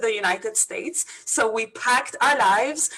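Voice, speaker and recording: A woman with a Lebanese accent and a fairly high pitch talks at a moderate pace with ordinary pitch variation. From Lebanon. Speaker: business coach. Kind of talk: interview.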